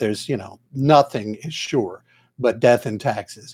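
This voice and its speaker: An ordinary speaking voice from a man at a medium pitch, ordinary pitch variation, on a very clean recording with a silent background. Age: 60s. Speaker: entrepreneur. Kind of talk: casual chat.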